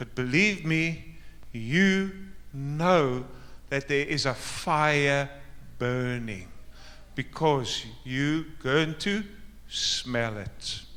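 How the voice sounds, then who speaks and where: Amid audible room echo, a man with a fairly high, bright, sharp voice speaks at a very slow pace with lively intonation and long, frequent pauses. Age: 60s. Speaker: pastor. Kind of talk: sermon. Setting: church.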